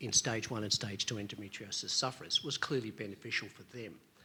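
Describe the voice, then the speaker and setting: A man with an Australian accent, bright and sharp in tone, fairly quick, with ordinary pitch variation. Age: 60s. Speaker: audience member at a medical debate. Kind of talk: audience question at a conference debate. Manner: halting.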